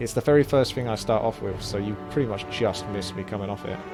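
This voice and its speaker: A man talks in a relaxed tone with ordinary pitch variation while music plays in the background. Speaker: game streamer / YouTube commentator. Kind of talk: casual gameplay commentary. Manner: relaxed, conversational.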